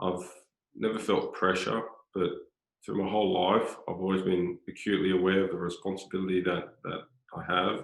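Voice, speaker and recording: Speaking with a strong Australian accent, a man with a very deep, low pitch keeps a flat, monotone intonation and takes long, frequent pauses. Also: moderate pace. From Australia, Sydney North Shore. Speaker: former footballer, football director. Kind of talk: interview conversation. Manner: repetitive, hesitant with filler words.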